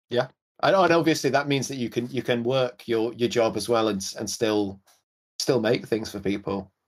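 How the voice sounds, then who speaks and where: Speaking with a Welsh accent, a man uses a medium pitch, ordinary pitch variation and a moderate pace. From Wales. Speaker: podcast host and pedal builder. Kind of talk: casual podcast chat.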